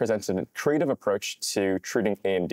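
Against a quiet background, a man talks with ordinary pitch variation in a dry sound with no echo. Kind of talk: interview explanation.

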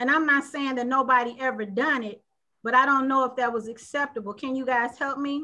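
A woman projects a raised voice at a high pitch, her tone bright and sharp, her pace fairly quick and her intonation fairly even against a quiet background. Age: 50s. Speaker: panel show host. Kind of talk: panel discussion. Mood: earnest, thoughtful. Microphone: video call.

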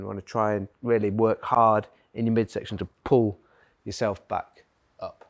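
There is quiet behind this man as he talks. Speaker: fitness coach. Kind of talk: workshop instruction. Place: gym.

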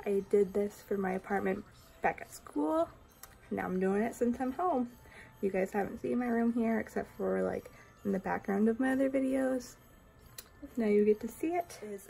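A woman talks at a moderate pace with lively intonation. Her tone is dark and mellow, and somewhat breathy. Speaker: reptile keeper vlogger. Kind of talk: casual vlog chat. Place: home room. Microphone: phone near.

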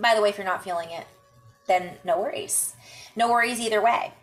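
A woman speaks with ordinary pitch variation. Faint music plays in the background. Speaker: intuitive healer vlogger. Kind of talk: casual vlog chat. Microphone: webcam.

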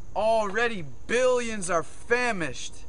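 A man with a high pitch speaks at a very slow pace with ordinary pitch variation. The sound is dry with no echo, with light background noise. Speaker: spoken word poet. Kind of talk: spoken word poetry, rhyming slam poem. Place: forest. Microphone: phone near.

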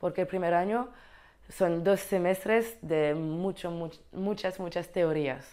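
Over a quiet background, a woman with a French accent talks at a fairly slow pace with a medium pitch and fairly even intonation. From Belgium (French-speaking, Brabant Wallon); Belgium. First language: French (speaking Spanish). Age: 20s. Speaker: exchange student in teacher training. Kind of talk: informational talk to camera. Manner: halting, with repetitions. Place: office.

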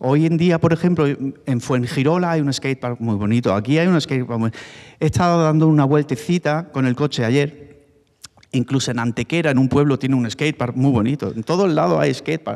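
Quiet background here. A man talks at a fairly quick pace with ordinary pitch variation. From Málaga, Spain; Spain. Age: 40s. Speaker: former BMX rider; speaker. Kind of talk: panel talk. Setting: stage with audience. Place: hall. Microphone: handheld.

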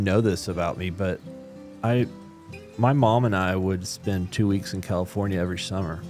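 A man's fairly low voice at a fairly quick pace, with clear music in the background. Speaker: business owner, publisher. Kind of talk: interview answer. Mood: reflective, serious storytelling. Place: studio. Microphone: studio mic.

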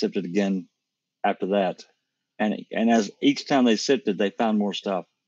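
Recorded dry and close with no echo, a man talks at a moderate pace in a plain, everyday voice. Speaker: panel researcher. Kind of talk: casual discussion. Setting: online video call.

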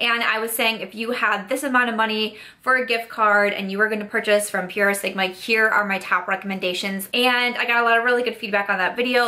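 This woman talks at a fairly quick pace in a monotone, flat intonation. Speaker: beauty vlogger. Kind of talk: casual vlog chat. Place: home room.

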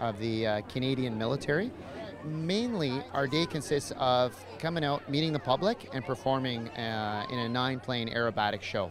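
A man speaks at a fairly quick pace in a dry sound with no echo, over noticeable background noise. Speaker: military demonstration pilot. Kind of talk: interview answer. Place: open country. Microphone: handheld.

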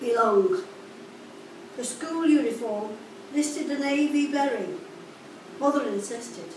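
With long, frequent pauses, a high-pitched woman talks at a fairly slow pace amid audible room echo and light background noise. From Liverpool, England. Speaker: poet reading own work. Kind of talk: poetry reading, spoken word to a live audience, recalling school days. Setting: live poetry event with audience. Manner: measured, rhythmic, clipped phrasing, wistful and confessional. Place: cafe.

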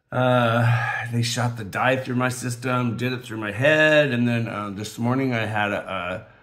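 Audible room echo surrounds a man speaking at a fairly slow pace, medium pitch and fairly even intonation. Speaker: diamond painting crafter. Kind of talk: casual chat. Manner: halting, many fillers.

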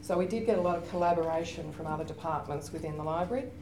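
A woman's fairly low voice in an Australian accent, lively in intonation and fairly quick, with faint music in the background. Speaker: university librarian; panelist. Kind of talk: conference panel presentation. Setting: stage with audience. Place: meeting room.

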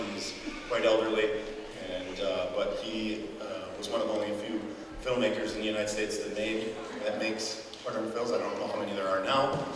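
A man talks at a fairly quick pace. Room echo is audible, and background noise is noticeable. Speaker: folk fiddler. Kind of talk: informal talk to an audience. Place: church.

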